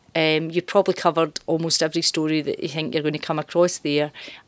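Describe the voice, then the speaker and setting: In a Glaswegian accent, a woman talks at a very deep, low pitch with monotone, flat intonation. The recording is very clean, with a silent background, and the sound is dry and close with no echo. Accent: Glaswegian Scottish. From Glasgow, Scotland. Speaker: journalism lecturer. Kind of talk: interview. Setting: university campus.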